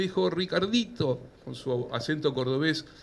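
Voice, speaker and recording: Fairly slow speech in a Rioplatense accent with ordinary pitch variation. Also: man. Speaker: professor. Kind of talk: lecture. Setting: stage with audience.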